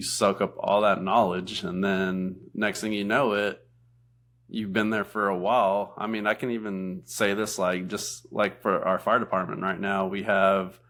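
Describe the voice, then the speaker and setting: At a moderate pace, a man with a fairly low voice speaks in a monotone, flat way. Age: 30s. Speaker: firefighter. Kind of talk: casual chat.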